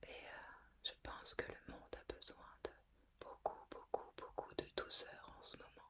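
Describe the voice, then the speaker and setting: Whispering, a woman speaks at a very slow pace. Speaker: ASMR / guided relaxation content creator. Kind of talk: whispered ASMR relaxation talk. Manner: whispered, soft-spoken, slow, calming.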